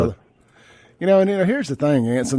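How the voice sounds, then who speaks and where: A man with lively, bouncing intonation. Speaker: radio talk show host. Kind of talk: live talk radio monologue. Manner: casual, conversational, rambling.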